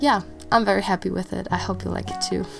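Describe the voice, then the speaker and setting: Music plays behind the speech. The speaker is a woman. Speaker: bullet journal creator. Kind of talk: casual talk to camera.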